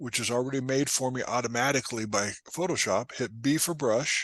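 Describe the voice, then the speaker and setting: A man with a normal speaking voice talks at a moderate pace and medium pitch, with ordinary pitch variation over a quiet background. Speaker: photography instructor. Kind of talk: tutorial. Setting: talk to a photo club.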